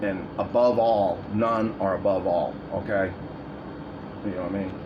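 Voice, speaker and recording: Amid noticeable background noise and audible room echo, a man speaks at a moderate pace in a fairly low pitch with monotone, flat intonation. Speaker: video blogger. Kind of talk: casual monologue. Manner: rambling, halting.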